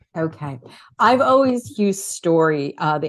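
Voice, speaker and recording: A woman with a New York accent and a very deep, low pitch, against a quiet background. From New York City, Queens. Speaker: author and communication coach. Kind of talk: interview. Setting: podcast interview.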